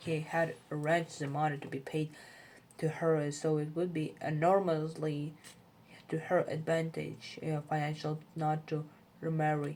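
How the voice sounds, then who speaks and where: A woman with a non-native accent speaks at a very deep, low pitch. Her intonation is monotone and flat, and her pace is fairly slow. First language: not English. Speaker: English learner reading aloud. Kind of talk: reading aloud. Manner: halting, frequent self-corrections.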